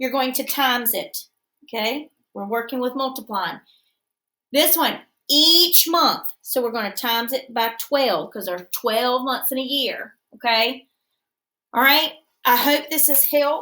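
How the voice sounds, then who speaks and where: A woman's high-pitched, bright and sharp voice with an American accent, raised and projected, at a fairly slow pace with long, frequent pauses. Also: ordinary pitch variation. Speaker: schoolteacher. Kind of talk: tutorial.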